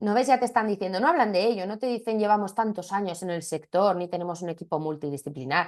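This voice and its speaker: A woman speaks at a very fast pace with lively intonation. The background is quiet. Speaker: marketing trainer. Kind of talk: webinar lecture. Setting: video call.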